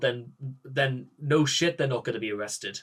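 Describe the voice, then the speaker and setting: This man speaks with a Geordie accent. His pitch shows ordinary variation. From northern England, Newcastle. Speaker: political commentator. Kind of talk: reaction commentary. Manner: halting.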